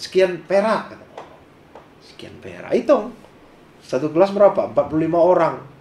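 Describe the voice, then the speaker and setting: A man with a high pitch and ordinary pitch variation speaks at a moderate pace, leaving long, frequent pauses. His loudness swings widely, and noticeable background noise is present. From Malay region of Sumatra, Indonesia. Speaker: businessman. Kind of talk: interview. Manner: animated.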